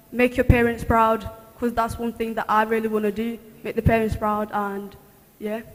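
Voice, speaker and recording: Over noticeable background noise, a woman speaks at a moderate pace in a fairly high, monotone, flat voice. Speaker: university student. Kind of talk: testimony. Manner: halting.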